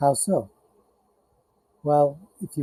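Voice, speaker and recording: A man at a very slow pace, in a dry, close sound with no echo. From India, moved to the US as a child. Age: 60s. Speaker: financial and tax consultant. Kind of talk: informal talk to camera.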